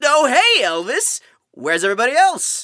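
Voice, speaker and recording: A man's put-on character voice at an extremely high pitch, with very wide pitch swings and a moderate pace. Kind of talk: arena announcer. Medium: actual play.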